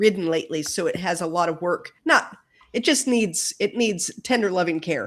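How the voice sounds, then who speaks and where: A woman with an ordinary speaking voice at medium pitch, moderate pace and ordinary pitch variation, on a very clean recording with a silent background. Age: 60s. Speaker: author. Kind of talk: interview.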